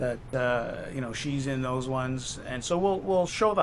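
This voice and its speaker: A man's voice comes with audible room echo. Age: 60s. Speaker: expat vlogger. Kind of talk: casual chat. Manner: halting, many fillers.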